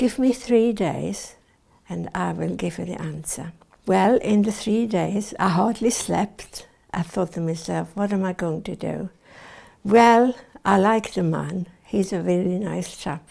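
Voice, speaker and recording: A woman talks at a medium pitch with ordinary pitch variation. Her voice has vocal fry, and she speaks at a fairly slow pace. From Switzerland. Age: 80s+. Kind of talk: oral history interview.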